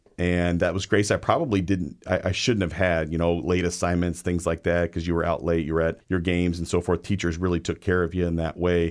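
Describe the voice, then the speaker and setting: Against a quiet background, a man with a very deep, low voice speaks at a fairly quick pace in a Pacific Northwest accent. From US Pacific Northwest (Everett, Washington). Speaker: high school administrator. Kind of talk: casual interview.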